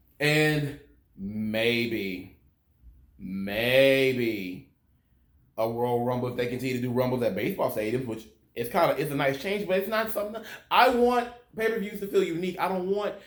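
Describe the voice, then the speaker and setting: In a room with audible echo, a man of medium pitch speaks at a moderate pace with very wide pitch swings and long, frequent pauses. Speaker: wrestling commentary youtuber. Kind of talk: opinion rant video review. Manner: animated, passionate.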